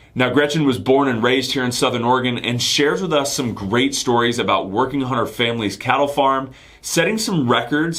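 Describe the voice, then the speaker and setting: With a plain, everyday voice, a man talks at a fairly quick pace and medium pitch, showing ordinary pitch variation and hardly any pauses. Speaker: podcast host. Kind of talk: podcast intro.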